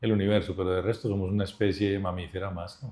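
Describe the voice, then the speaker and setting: A man talks fairly quickly in an Antioquian accent, his fairly low voice monotone and flat. The background is quiet. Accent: Colombian paisa Spanish. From Colombia, Medellín (Antioquia). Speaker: business leader. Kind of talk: interview conversation.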